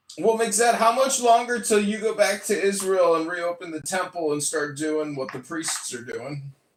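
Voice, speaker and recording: A raspy, put-on character voice from a man, high in pitch, at a moderate pace. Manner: clownish, put-on.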